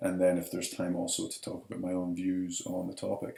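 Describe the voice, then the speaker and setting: The speaker is a man with a Scottish accent. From Scotland, Edinburgh. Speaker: professor. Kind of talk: lecture.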